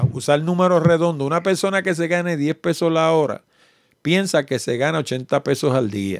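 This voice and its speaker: A man with a Puerto Rican accent talks at a moderate pace in a fairly high voice with lively intonation, the sound dry with no echo and the background quiet. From Puerto Rico. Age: 60s. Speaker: podcast host. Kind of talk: casual interview. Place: home room. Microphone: studio mic.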